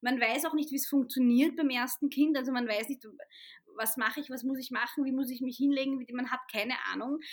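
A woman's high voice at a fairly quick pace with fairly even intonation. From Austria, Vienna. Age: 30s. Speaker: author and journalist. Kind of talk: interview conversation.

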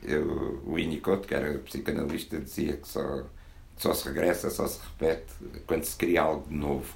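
In a room with audible echo, a man with a very deep, low pitch and vocal fry speaks with fairly even intonation while his loudness swings widely. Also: moderate pace. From Portugal, Porto. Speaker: poet. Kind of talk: book launch talk. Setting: bookshop with audience.

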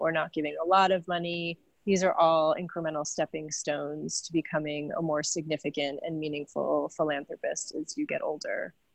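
A woman with an American accent and an unremarkable speaking voice talks at a fairly low pitch with fairly even intonation, recorded dry and close with no echo and a quiet background. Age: 40s. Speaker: philanthropy consultant and author. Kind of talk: interview.

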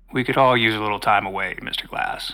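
A man speaks at a moderate pace with a bright, sharp tone. His intonation stays fairly even. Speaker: voice actor playing a professor. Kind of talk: horror audio drama, character dialogue, cult villain monologue. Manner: formal, scholarly, calm and then menacing, ritualistic.

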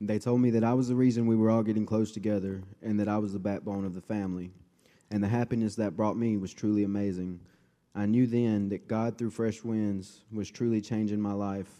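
A man talks at a fairly quick pace in a fairly low pitch. His tone is dark and mellow, his intonation monotone and flat. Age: 20s. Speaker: former addict in recovery program. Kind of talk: testimony. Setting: church.

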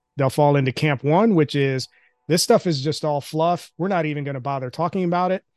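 A man with an unremarkable speaking voice, fairly high in pitch, at a fairly quick pace with ordinary pitch variation, in a dry, close sound with no echo and a quiet background. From outside the US, immigrated as a child. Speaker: talent industry executive. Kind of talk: interview.

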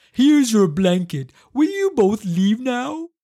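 A man's put-on character voice, high pitched and fairly slow. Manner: cranky.

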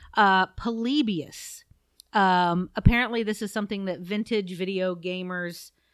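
In a Midwestern accent, a woman talks at a fairly slow pace with ordinary pitch variation, in a very clean recording with a silent background. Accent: US Midwest (Ohio). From Southeast Ohio. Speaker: podcast co-host. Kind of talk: casual chat.

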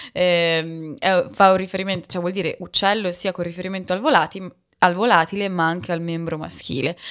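On a very clean recording with a silent background, a woman speaks at a fairly quick pace and fairly low pitch with fairly even intonation. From Bologna, Italy. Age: 30s. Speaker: sinologist and podcaster. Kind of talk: casual interview. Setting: in person. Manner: halting, with many fillers.

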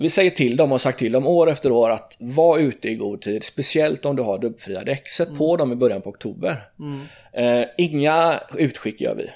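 With a normal speaking voice, a man speaks at a fairly high pitch and a moderate pace with lively intonation, on a very clean recording with a silent background. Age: 30s. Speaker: tire shop owner and managing director. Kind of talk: casual interview. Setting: at his workplace.

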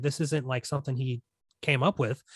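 Somewhat breathy, a man is heard on a very clean recording with a silent background and a dry, close sound with no echo. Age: 30s. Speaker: film podcast host. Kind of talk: casual chat. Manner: animated.

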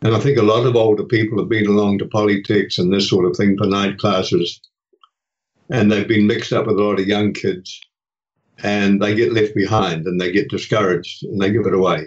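With a New Zealand accent, a man speaks at a fairly quick pace and fairly low pitch, with fairly even intonation and very even loudness. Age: 80s+. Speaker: retiree and hospice volunteer. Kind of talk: interview conversation.

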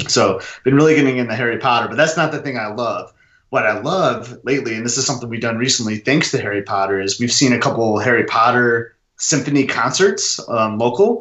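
A plain, everyday voice with an American accent moves at a fairly quick pace with ordinary pitch variation. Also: man, medium pitch for a man. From Michigan. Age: 30s. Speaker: Disney fan and runner. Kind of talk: casual chat.

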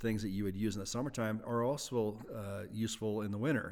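A man with an American accent speaks at a fairly quick pace in a fairly low pitch, with an ordinary speaking voice. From US Midwest, Wisconsin. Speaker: ice fishing association founder. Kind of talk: casual interview.

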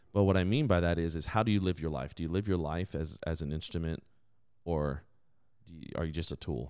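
At a fairly quick pace, a man speaks at a very deep, low pitch with big swings in loudness, on a very clean recording with a silent background. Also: ordinary pitch variation. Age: 30s. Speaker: podcast host and Bible teacher. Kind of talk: casual faith talk with scripture teaching. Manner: animated, frequent laughter.

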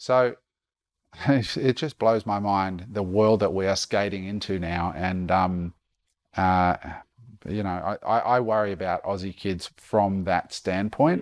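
The recording is very clean, its background silent. A man with an Australian accent speaks with ordinary pitch variation. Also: fairly low pitch for a man, fairly slow pace. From Queensland, Australia. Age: 40s. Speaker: entrepreneur and speaker. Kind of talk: podcast interview. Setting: at guest's home.

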